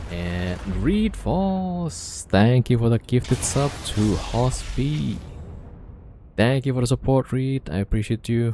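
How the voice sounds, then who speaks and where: At a very slow pace, the voice makes very wide pitch swings. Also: man, medium pitch for a man. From Indonesia. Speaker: game streamer. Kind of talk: casual live-stream chat.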